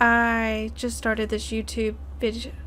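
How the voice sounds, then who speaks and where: A woman talks at a moderate pace in a room with audible echo, with music in the background. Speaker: YouTuber, artist. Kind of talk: art tutorial voiceover. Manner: slurred, stumbling over words; hesitant, with many fillers.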